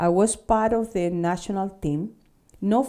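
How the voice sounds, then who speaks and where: A woman speaks at a fairly slow pace in a Spanish accent. Her tone is dark and mellow, with ordinary pitch variation. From Chile, Santiago. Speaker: fencing instructor and school owner. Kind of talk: interview.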